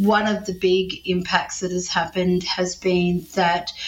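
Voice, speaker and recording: Flat, monotone intonation from a woman of medium pitch with an Australian accent, over noticeable background noise. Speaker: health professor and breast cancer survivor. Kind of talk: interview.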